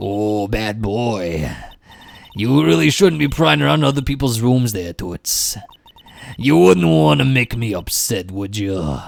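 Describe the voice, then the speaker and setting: A man puts on a strained character voice with a fairly low pitch and very wide pitch swings. He speaks at a fairly slow pace. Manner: scolding, menacing, put-on.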